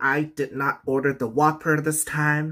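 The man talks fairly slowly, and the background stays quiet. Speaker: mukbang vlogger. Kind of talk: casual vlog chat. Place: home room. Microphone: phone near.

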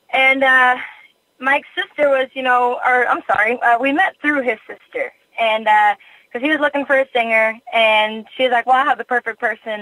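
A woman with a high pitch speaks at a moderate pace, using ordinary pitch variation. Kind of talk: interview.

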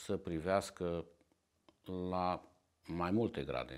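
On a very clean recording with a silent background, a man talks at a very slow pace in a very deep, low pitch. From Transylvania, Cluj area. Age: 70s. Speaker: Armenian-descended community member. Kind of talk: interview testimony.

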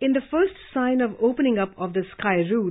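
In an Indian accent, a woman talks at a moderate pace with lively intonation. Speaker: news presenter. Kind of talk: news reading. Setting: studio. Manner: formal.

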